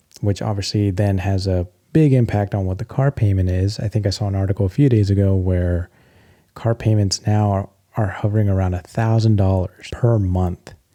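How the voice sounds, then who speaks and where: Soft-spoken, a man with an American accent talks at a fairly quick pace and fairly low pitch. His tone is dark and mellow, his intonation fairly even. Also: dry, close sound with no echo. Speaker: tech and stock commentator. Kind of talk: casual commentary video.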